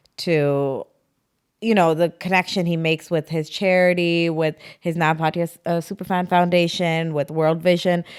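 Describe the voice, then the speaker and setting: In a Toronto accent, a woman speaks at a moderate pace with a fairly low pitch and flat, monotone intonation. The recording is very clean and the background is silent. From Canada, Toronto. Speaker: actress and influencer. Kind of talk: podcast interview.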